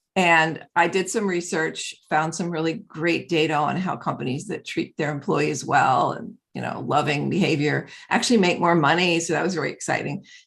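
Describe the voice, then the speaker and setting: This voice has vocal fry and ordinary pitch variation. It moves at a moderate pace with hardly any pauses. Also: woman, fairly low pitch for a woman. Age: 70s. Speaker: author and mentor, former data scientist. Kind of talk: interview. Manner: halting.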